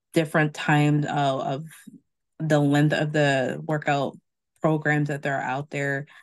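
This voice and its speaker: With a quiet background, a woman speaks at a fairly slow pace in a very deep, low pitch. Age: middle-aged. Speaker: podcast host. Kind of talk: casual chat.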